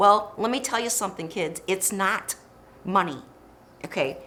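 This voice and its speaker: With an American accent and an animated tone, a woman speaks at a moderate pace with ordinary pitch variation over noticeable background noise. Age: 60s. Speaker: podcast host. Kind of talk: casual chat.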